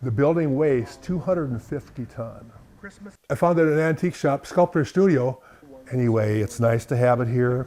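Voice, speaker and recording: A man with an Upper Midwest accent speaks at a moderate pace in a medium pitch, his dark, mellow tone carrying ordinary pitch variation. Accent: Upper Midwest American. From US Midwest, South Dakota. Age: 70s. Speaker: farmer and collector. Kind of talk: interview. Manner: halting.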